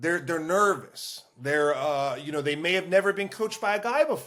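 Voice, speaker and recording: Loud and bright with a sharp edge, a man talks in a high pitch with lively intonation. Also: moderate pace. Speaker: lacrosse coach. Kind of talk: casual chat. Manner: animated.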